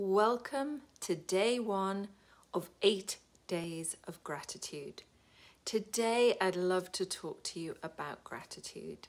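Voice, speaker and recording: A woman's medium-pitched voice with a British accent, upbeat in tone, at a very slow pace. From United Kingdom. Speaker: wellbeing coach. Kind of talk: casual talk to camera. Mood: warm and upbeat. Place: home room. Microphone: phone near.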